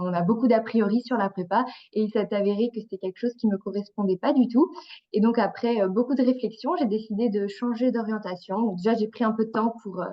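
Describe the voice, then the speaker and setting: In a normal speaking voice, a woman talks at a fairly quick pace and fairly high pitch, with ordinary pitch variation. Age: 20s. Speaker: engineering student. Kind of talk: webinar talk.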